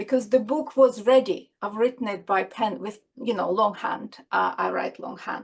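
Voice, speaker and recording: Speaking with a non-native accent, a woman shows vocal fry and ordinary pitch variation. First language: not English. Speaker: children's author and doctor. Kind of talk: interview. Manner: halting.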